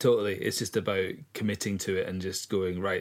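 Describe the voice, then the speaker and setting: Speaking in a Scottish accent, a man with a very deep, low voice talks at a fairly quick pace in a monotone, flat intonation. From east coast of Scotland. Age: 40s. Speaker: singer-songwriter and record label owner. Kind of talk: casual chat.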